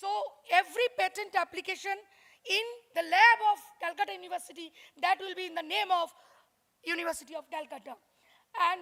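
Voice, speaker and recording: A woman speaks at an extremely high pitch with ordinary pitch variation. Her pace is fairly quick. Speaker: workshop speaker on intellectual property. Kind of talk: lecture. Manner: fast.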